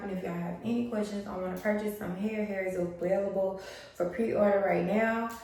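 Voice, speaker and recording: Amid noticeable background noise and audible room echo, a woman speaks at medium pitch with fairly even intonation. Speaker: beauty vlogger and wig brand owner. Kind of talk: hair tutorial vlog. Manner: quiet, almost whispering.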